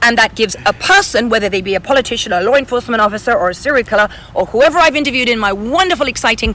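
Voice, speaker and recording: A woman speaks in an English accent at a fairly high pitch, with very wide pitch swings. Background noise is noticeable. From England. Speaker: author, model, actress, TV reporter. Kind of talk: interview answer. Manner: fast.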